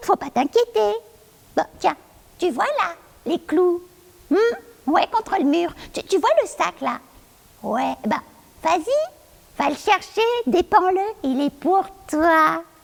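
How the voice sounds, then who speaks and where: A female-sounding put-on character voice, pitched extremely high, moves at a fairly slow pace. Long, frequent pauses break it up. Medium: stage play. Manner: coaxing, insistent.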